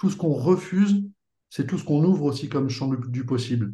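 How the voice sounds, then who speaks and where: A man's somewhat breathy voice at a fairly quick pace, with ordinary pitch variation. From Paris, France. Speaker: perfume brand co-founder. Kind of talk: interview.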